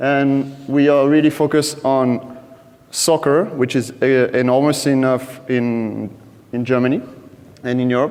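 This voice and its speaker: With a French accent, a man speaks at a moderate pace in a medium pitch with fairly even intonation, and room echo is audible. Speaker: data team lead at a betting company. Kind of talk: conference talk. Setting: stage with audience.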